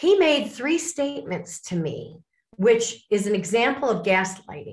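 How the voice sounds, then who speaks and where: A woman with an American accent speaks at a fairly slow pace and a fairly high pitch. Her voice is somewhat breathy, with very wide pitch swings. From US Midwest, Lake Forest, Illinois. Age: 60s. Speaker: author and speaker on abuse recovery. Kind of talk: interview.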